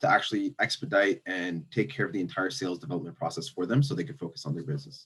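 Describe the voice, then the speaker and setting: A man with a Canadian accent talks at a very fast pace. His intonation is lively. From Toronto, Ontario. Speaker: startup founder. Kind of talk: panel discussion.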